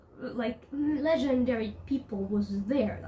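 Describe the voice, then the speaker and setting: A woman with a non-native accent, high pitch, ordinary pitch variation and a very slow pace. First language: not English. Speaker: video blogger. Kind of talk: casual vlog monologue. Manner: halting, frequent self-corrections; animated.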